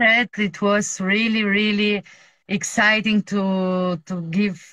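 In a Bulgarian accent, a woman speaks very slowly with a bright, sharp tone and a flat monotone. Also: quiet background. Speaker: music fan; guest. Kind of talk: casual chat. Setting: video call. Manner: halting, searches for English words. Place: home room. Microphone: video call.

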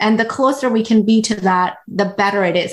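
With a quiet background, a woman in a normal speaking voice talks fairly quickly at a medium pitch with ordinary pitch variation. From India, raised from 12 in Washington DC area. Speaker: physician. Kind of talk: interview.

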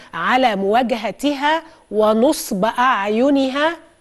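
The background is quiet. The intonation is lively. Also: woman. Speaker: TV news anchor. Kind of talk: news presentation. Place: studio. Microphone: lapel.

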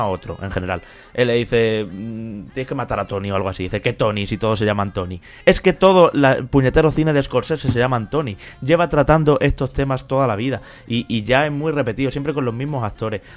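The man has an ordinary speaking voice at a medium pitch. His intonation is lively and his pace fairly quick. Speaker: podcast host. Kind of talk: casual chat.

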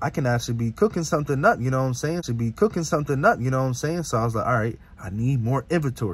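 In a dry recording with no echo, a somewhat breathy man races along at a very fast pace with lively intonation and hardly any pauses. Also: medium pitch for a man. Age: 20s. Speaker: car YouTuber, small business starter; car rental entrepreneur vlogger. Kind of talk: casual vlog monologue. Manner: casual, filler-heavy. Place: car. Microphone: phone near.

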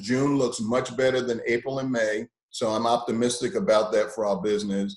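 Against a quiet background with audible room echo, a man talks at a fairly quick pace and medium pitch, with ordinary pitch variation. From Brooklyn, New York; New York. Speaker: TV station general manager. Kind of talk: panel discussion. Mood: calm, mildly optimistic. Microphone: video call.

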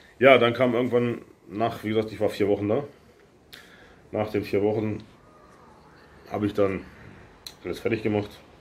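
At a moderate pace, a man with a fairly low voice speaks in a flat monotone, broken by long, frequent pauses. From Lower Saxony, Germany. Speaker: YouTuber / expat vlogger; YouTuber, expat vlogger. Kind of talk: casual vlog Q&A. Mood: relaxed storytelling, some irritation. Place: home room. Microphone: phone near.

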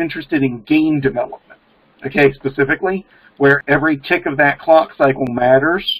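In an American accent, a man with a plain, everyday voice talks at a fairly quick pace with fairly even intonation over a quiet background. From Maryland, US. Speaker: programmer and pagan practitioner; panelist. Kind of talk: casual discussion. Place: home room. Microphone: webcam.

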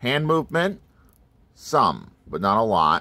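A man's lively intonation at a fairly slow pace. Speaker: toy reviewer. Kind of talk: casual toy review commentary. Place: home room. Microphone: phone near.

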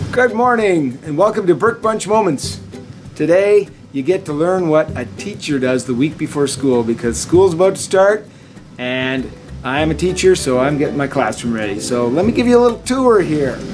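A man talks at a moderate pace with clear music playing in the background. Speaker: teacher. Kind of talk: casual vlog chat. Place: classroom. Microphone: phone near.

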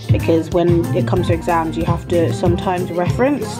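Loud music fills the background. Over it, a woman speaks at a moderate pace. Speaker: events management student. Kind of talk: study-tips explanation. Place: home room. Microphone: phone near.

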